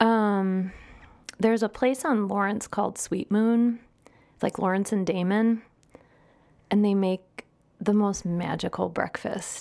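A woman with a Midwestern US accent speaks at a fairly slow pace with long, frequent pauses. Her pitch is medium and her intonation fairly even. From US Midwest. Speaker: food and drink journalist. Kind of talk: casual chat.

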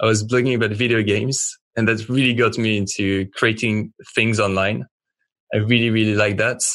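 A man speaks in a French accent at medium pitch and a moderate pace. His intonation is monotone and flat, against a quiet background. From France. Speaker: fashion brand founder. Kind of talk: interview, casual chat. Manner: halting, filler words.

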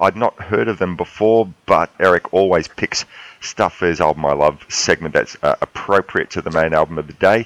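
A man's very deep, low voice in an Australian accent, at a moderate pace with ordinary pitch variation and a dry, close sound with no echo. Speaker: podcast host. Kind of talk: casual chat. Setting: Skype call.

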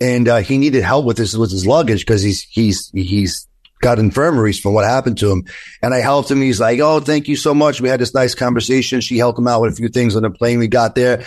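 A man talks at a very fast clip in a New York accent, his loudness staying very even. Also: medium pitch for a man, ordinary pitch variation. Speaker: attorney. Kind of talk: interview.

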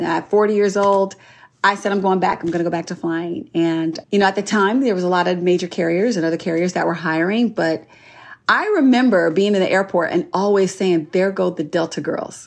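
The recording is very clean, with a silent background. A woman with an unremarkable speaking voice talks at a moderate pace and a medium pitch. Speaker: flight attendant. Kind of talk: interview.

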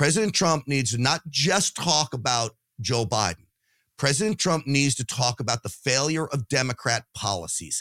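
On a very clean recording with a silent background and a dry, close sound with no echo, a man speaks at a moderate pace and medium pitch in an animated tone, with lively intonation and very even loudness. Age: 50s. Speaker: political commentator, podcast host. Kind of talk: casual chat.

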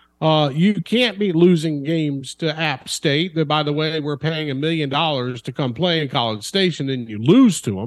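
Delivered at a moderate speed, an ordinary speaking voice carries ordinary pitch variation. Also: man, fairly high pitch for a man. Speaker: college football reporter. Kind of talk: casual sports talk interview.

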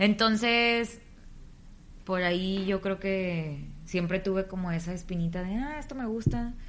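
Here a woman has an unremarkable speaking voice at a medium pitch. Her pitch variation is ordinary. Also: fairly slow pace. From Tamaulipas, northern Mexico. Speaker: radio announcer and comedian. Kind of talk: interview.

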